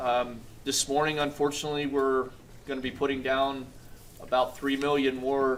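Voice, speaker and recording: Talking at a moderate pace, a man uses a fairly high pitch. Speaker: agriculture industry sponsor. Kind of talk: brief remarks at event. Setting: breakfast event with audience. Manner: hesitant, many fillers.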